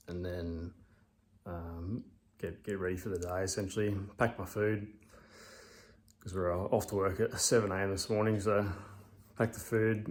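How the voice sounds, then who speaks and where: A mumbling man at fairly low pitch, with monotone, flat intonation, long and frequent pauses, and a moderate pace. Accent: Australian. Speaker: amateur bodybuilder vlogger. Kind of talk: casual vlog talk. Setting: at home. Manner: hesitant, many fillers.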